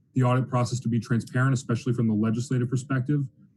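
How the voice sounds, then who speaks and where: In an American accent, a man speaks in a monotone with flat intonation, his tone dark and mellow and somewhat breathy. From US South, New Orleans, Louisiana. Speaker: student government nominee. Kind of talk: meeting speech.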